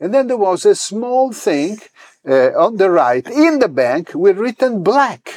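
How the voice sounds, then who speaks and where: A man with an Italian accent speaks at a fairly slow pace in a high voice. His pitch swings very widely. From Italy, Rome. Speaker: religious leader. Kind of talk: interview. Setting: temple.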